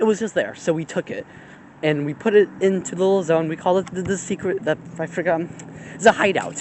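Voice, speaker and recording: Against noticeable background noise, a man talks at a very fast pace in a high pitch with fairly even intonation. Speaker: vlogger. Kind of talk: casual vlog talk. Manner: rambling, hesitant.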